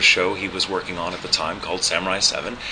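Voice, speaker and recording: With noticeable background noise behind him, a man talks at a very fast pace. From Texas. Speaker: voice actor and ADR director. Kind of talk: interview. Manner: hesitant, many fillers.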